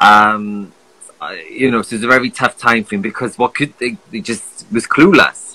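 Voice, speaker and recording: In a bright, sharp tone, a man speaks at a moderate pace with ordinary pitch variation. His loudness swings widely. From United Kingdom. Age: 30s. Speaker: skincare influencer and podcaster; skincare influencer, podcaster. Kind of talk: casual interview. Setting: video call. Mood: relaxed, chatty. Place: home room. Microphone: phone near.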